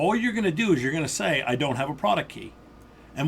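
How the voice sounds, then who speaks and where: Loud and with lively intonation, the speaker talks with an American accent. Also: man. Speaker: IT instructor. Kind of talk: tutorial.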